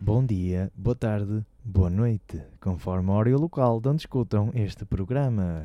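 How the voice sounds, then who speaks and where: A man's normal speaking voice, fairly low in pitch with ordinary variation, at a fairly slow pace. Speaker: radio host. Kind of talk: casual chat. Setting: studio.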